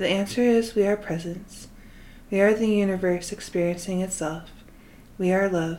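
In a plain, everyday voice, a woman of medium pitch speaks at a moderate pace with fairly even intonation. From Utah, US. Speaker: podcast host, spiritual guide. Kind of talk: scripted monologue.

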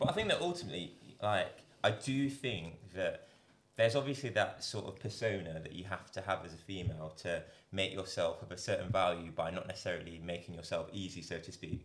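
In a Derby accent, a man talks at a fairly quick pace. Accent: Midlands English, Derby. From Derby, England. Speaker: doctor and social media influencer. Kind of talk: casual chat.

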